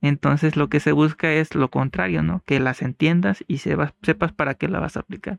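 A man with an ordinary speaking voice talks at a moderate pace, his fairly high pitch carrying lively intonation. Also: dry, close sound with no echo. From Mexico, Costa Grande of Guerrero (San Jerónimo de Juárez). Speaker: mathematics professor. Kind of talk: casual interview.

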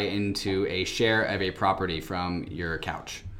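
A man with a fairly low pitch is heard over noticeable background noise. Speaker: podcast host. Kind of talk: casual podcast interview.

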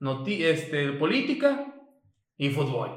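A man's fairly high voice rings with audible room echo. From Mexico, Chiapas (Tuxtla Gutiérrez). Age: 20s. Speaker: podcast co-host, civil engineer. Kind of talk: casual chat.

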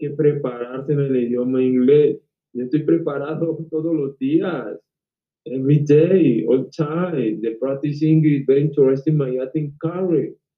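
An ordinary speaking voice from a man, fairly high in pitch, with fairly even intonation and a fairly slow pace. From Cali, Colombia. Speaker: actor. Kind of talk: casual interview.

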